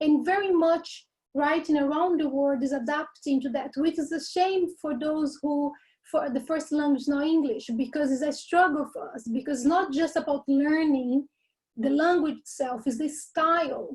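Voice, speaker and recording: In a Portuguese accent, a woman speaks at a high pitch. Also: fairly even intonation, moderate pace. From Brazil. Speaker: university lecturer. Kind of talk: workshop lecture.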